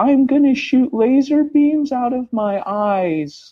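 The speaker puts on a character voice with a high pitch. The pace is fairly slow. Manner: deadpan, absurdly matter-of-fact.

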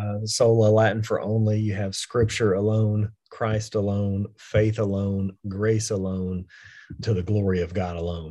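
In a Texan accent, a man speaks with fairly low pitch and a dark, mellow tone. His delivery is monotone and fairly slow, over a quiet background. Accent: Texan American English. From West Texas. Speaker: pastor and author. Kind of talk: casual theological interview.

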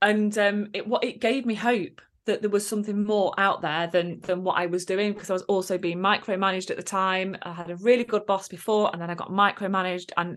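A woman with an English accent, medium pitch, ordinary pitch variation and a fairly quick pace, against a quiet background. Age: 30s. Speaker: confidence coach. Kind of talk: casual chat.

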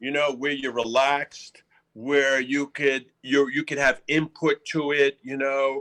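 Speaking at a fairly slow pace, a man with a fairly high pitch and a bright, sharp tone keeps a flat, monotone delivery. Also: dry, close sound with no echo. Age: 60s. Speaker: actor. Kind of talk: casual interview.

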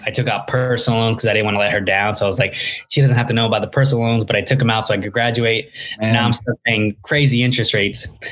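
Against noticeable background noise, a man with an American accent talks very fast at a medium pitch with fairly even intonation. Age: 20s. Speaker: startup founder and CEO. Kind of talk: interview. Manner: casual, many filler words.

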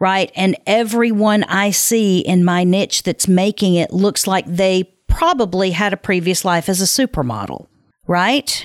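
A woman with a plain, everyday voice talks at a medium pitch and fairly slow pace, with ordinary pitch variation and very even loudness, in a dry, close sound with no echo. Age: 50s. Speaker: podcast host and production company founder. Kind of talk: solo podcast monologue.

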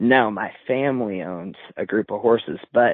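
A man speaks with an American accent at a medium pitch. His is a plain, everyday voice. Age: 20s. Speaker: racehorse owner and university student. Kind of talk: interview.

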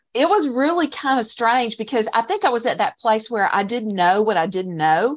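Against a quiet background, a woman with a fairly high pitch speaks at a moderate pace with hardly any pauses and very wide pitch swings. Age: 50s. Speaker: online course creator, former shop owner. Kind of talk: interview.

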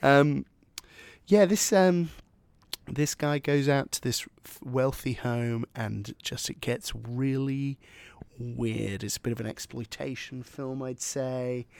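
Very slowly, a man speaks at a medium pitch with ordinary variation, leaving long, frequent pauses. The sound is dry and close, with no echo. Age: 20s. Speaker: podcast co-host. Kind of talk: casual chat.

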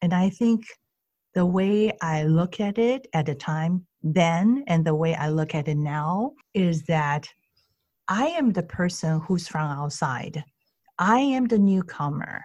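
Speaking with a Chinese accent, the voice is somewhat breathy and very slow. Its intonation is lively. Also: woman, fairly low pitch for a woman. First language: Mandarin Chinese. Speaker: Chinese language teacher and consultant. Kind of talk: interview.

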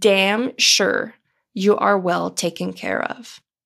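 On a very clean recording with a silent background, a woman speaks with a French accent. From Ontario, Canada (Franco-Ontarian). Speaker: podcast host, psychotherapist. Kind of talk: solo podcast monologue.

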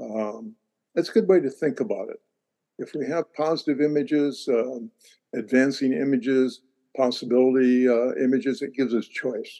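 With an American accent, a man speaks at a medium pitch and moderate pace, his tone dark and mellow, his pitch varying in an ordinary way. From international upbringing (Europe, Russia, Pacific Rim, US, Canada). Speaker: futurist and university lecturer. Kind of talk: interview.

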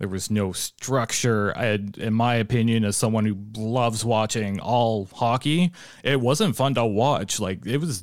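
A man with a normal speaking voice, medium pitch and ordinary pitch variation, on a very clean recording with a silent background. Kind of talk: casual sports analysis. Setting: studio.

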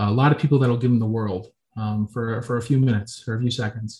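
A man's medium-pitched, somewhat breathy voice with an American accent, very fast, with ordinary pitch variation. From Florida, Tampa Bay area. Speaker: college football player. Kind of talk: interview. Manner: hesitant, with many fillers.

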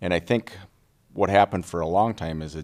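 On a very clean recording with a silent background, a man with an Upper Midwest accent talks at a fairly quick pace in a very deep, low pitch. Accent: Upper Midwest (Minnesota). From Minnesota, Little Falls. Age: 40s. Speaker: political candidate and wildlife biologist. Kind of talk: casual interview chat.

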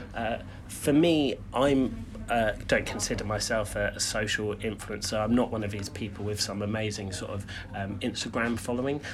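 Fairly low in pitch, a man talks at a moderate pace with fairly even intonation. Noticeable background noise and audible room echo fill the recording. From southern England, Brighton. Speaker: personal branding consultant. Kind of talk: casual chat.

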